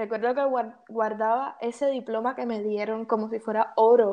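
A woman speaks with a fairly high pitch and a dark, mellow tone. Her intonation is flat and monotone against a quiet background. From Cuba. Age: 20s. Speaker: artist. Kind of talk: interview.

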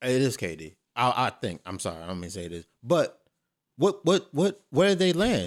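On a very clean recording with a silent background, a man speaks at a moderate pace and medium pitch with vocal fry. His pitch swings very widely and his loudness shifts in big swings. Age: 30s. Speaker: podcast co-host. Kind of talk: casual chat.

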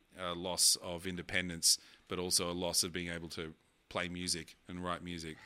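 With an Australian accent, a man speaks at a moderate pace in a very deep, low pitch, his tone bright and sharp. The recording is very clean, and the background is silent. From Sydney, Australia. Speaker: keynote speaker and DJ. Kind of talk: casual chat.

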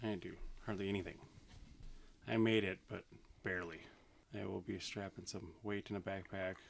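A man in a flat monotone, fairly low pitched and fairly quick, with long, frequent pauses. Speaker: guest, younger brother of host. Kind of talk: casual banter.

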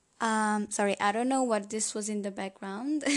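Against a quiet background, a woman with a Hungarian accent speaks at a fairly high pitch with fairly even intonation. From Hungary. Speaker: podcast host. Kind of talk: solo podcast monologue. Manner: hesitant, many fillers.

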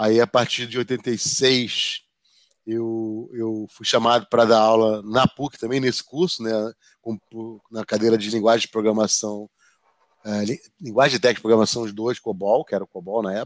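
The speech moves at a moderate pace with fairly even intonation. The recording is very clean, with a silent background and a dry, close sound with no echo. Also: man, medium pitch for a man. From Rio de Janeiro, Brazil. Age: 50s. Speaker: project management professor and association executive. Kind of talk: interview. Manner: talkative, rambling.

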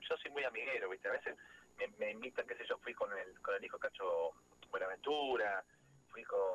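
Very rapid speech comes from a man. The audio is dry and close, without any echo. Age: 40s. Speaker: folk musician and music producer. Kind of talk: radio interview.

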